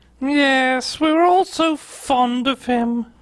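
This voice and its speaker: In a put-on character voice, a female-sounding speaker uses a high pitch and a very slow pace. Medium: comedy sketch. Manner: haughty, upper-class.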